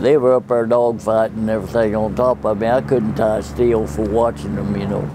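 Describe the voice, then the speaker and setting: Fairly quick, lively speech from a man with an American accent and a fairly low pitch, hardly any pauses, and noticeable background noise. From Oklahoma, US. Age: 90s. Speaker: war veteran. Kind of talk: personal storytelling interview. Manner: halting, with self-corrections.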